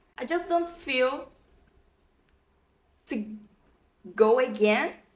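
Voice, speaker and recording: A woman with a Brazilian accent at a very slow pace. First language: Portuguese. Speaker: vlogger. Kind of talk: casual vlog talk. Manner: halting, with fillers.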